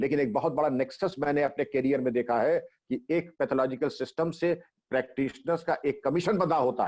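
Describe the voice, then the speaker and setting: A man with an ordinary speaking voice, fairly high pitch and ordinary pitch variation, at a moderate pace against a quiet background. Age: 60s. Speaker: retired police chief. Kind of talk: interview.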